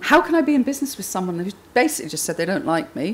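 A woman's fairly bright tone with a slightly husky edge and big pitch swings

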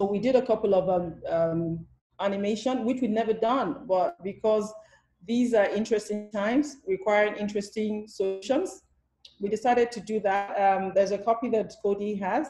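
The room echo is audible. The background is quiet. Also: woman, fairly high pitch for a woman, ordinary pitch variation, moderate pace. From Nigeria. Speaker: theatre director and producer; panelist. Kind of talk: panel discussion. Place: home room. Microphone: video call.

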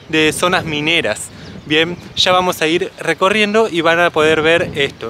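At a fairly slow pace, a high-pitched man speaks with ordinary pitch variation, the sound dry with no echo and light background noise behind him. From Argentina. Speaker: travel vlogger. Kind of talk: casual talk to camera. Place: open country. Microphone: phone near.

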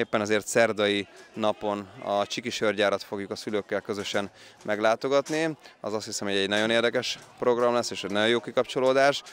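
This man speaks at a fairly quick pace and a fairly low pitch, with fairly even intonation. The sound is dry with no echo, over light background noise. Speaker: youth football coach. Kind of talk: interview. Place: stadium. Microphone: handheld.

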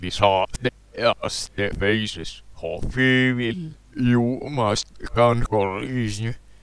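Using a put-on character voice, a man speaks very slowly at a medium pitch.

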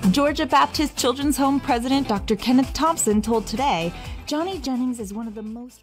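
Talking fairly quickly over music in the background, a woman with a high pitch shows ordinary pitch variation and big swings in loudness. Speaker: news presenter. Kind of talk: news report narration.

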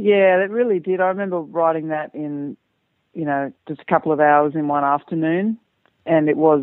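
A woman speaks with an Australian accent. Her pitch sits very deep and low. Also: ordinary pitch variation, moderate pace. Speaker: singer-songwriter. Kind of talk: interview.

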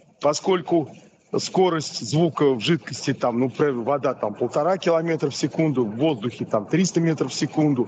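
Here a man speaks at a moderate pace with ordinary pitch variation. Light background noise sits behind him. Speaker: academic examiner. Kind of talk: academic discussion. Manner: animated. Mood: thoughtful, critical questioning. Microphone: video call.

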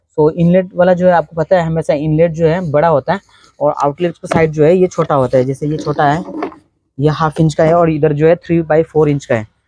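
A man speaks at a fairly quick pace with fairly even intonation and a dark, mellow tone. The sound is dry and close, without echo. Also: fairly high pitch for a man.

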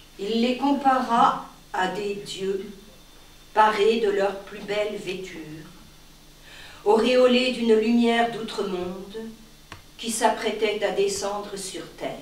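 A woman speaks very slowly in a fairly high voice, with fairly even intonation and long, frequent pauses. Her tone is dramatic, with big swings in loudness and audible room echo. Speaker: reader of a short story. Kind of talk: literary audiobook reading, a live public reading of a short story. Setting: live reading at an arts venue. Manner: formal, measured literary delivery with elevated diction; slow, deliberate, long-breathed phrasing with dramatic pauses. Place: hall.

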